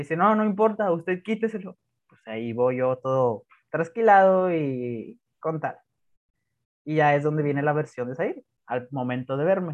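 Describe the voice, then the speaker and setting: Pitched fairly high, a man talks at a moderate pace with lively intonation. His loudness swings widely. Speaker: podcast co-host. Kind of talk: casual chat.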